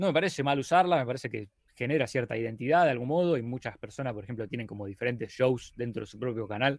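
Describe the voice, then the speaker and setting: A man with a medium pitch and lively intonation is heard on a very clean recording against a silent background. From Argentina, Rosario. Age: 30s. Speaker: video editor and YouTuber. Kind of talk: casual interview chat.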